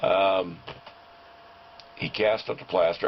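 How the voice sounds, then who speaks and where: A man speaks over noticeable background noise. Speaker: sculptor. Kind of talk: casual talk to camera. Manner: hesitant, rambling.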